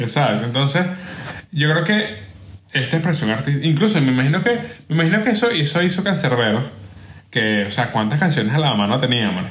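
A man talks at a fairly quick pace with long, frequent pauses, fairly high pitch and very wide pitch swings. His loudness stays very even over noticeable background noise. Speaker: podcast host. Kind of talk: casual chat.

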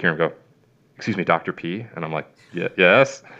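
A man's very deep, low voice with a Chicago accent at a fairly quick pace. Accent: Chicago-area Midwestern. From Chicago area, Illinois. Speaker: veterinarian. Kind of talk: casual interview chat.

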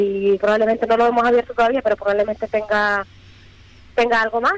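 A woman has a plain, everyday voice at fairly high pitch, speaking at a fairly quick pace. The sound is dry and close, with no echo. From Fuerteventura, Canary Islands. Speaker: rally driver. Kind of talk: phone interview.

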